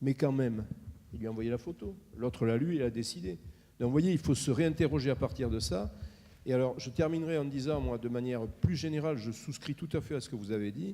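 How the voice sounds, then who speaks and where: A man's dark, mellow tone with lively intonation. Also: medium pitch for a man, fairly quick pace. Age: 60s. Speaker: healthcare consultant, audience member. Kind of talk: audience contribution at round table. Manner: hesitant, repeats words.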